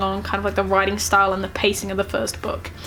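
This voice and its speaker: A woman speaks with a New Zealand accent. Music plays in the background. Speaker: book reviewer. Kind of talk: casual talk to camera.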